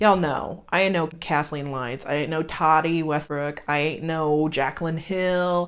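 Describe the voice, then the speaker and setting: Against a quiet background, a woman with a Southern US accent speaks at a moderate pace, her very deep, low voice holding fairly even intonation. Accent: US South. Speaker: beauty youtuber. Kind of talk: casual unboxing vlog. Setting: home.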